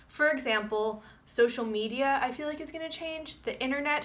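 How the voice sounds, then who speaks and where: Over noticeable background noise, a woman speaks in a raised, projected voice. Her pitch is high with ordinary variation, and her pace is fairly quick. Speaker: astrologer. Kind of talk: forecast monologue to camera.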